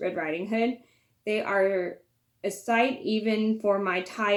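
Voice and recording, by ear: Over a quiet background, the reading aloud in a natural voice keeps a fairly even intonation.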